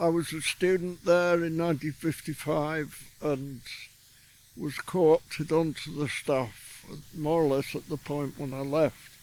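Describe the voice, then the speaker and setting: A man speaks in a Yorkshire accent at a fairly high pitch. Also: fairly even intonation, fairly slow pace. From Yorkshire, northern England. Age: 80s+. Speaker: visual artist, retired art lecturer. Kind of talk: casual interview. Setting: outdoors in a garden.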